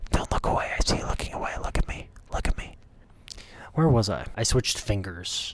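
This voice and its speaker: Someone whispers at a fairly quick pace with long, frequent pauses. There is noticeable background noise. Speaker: YouTuber and improv performer. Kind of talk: comedic vlog monologue. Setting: home recording, mic held on fingers.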